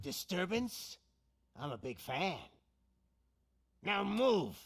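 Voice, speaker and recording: In a raspy, put-on character voice pitched high, a man speaks very slowly with very wide pitch swings. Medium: video game. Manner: smug, theatrical, menacing.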